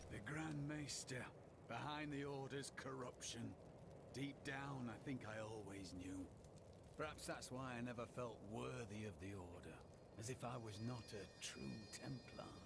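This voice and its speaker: A man puts on a character voice at a medium pitch. Loud background noise runs behind him. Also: moderate pace. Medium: machinima. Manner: earnest, intense.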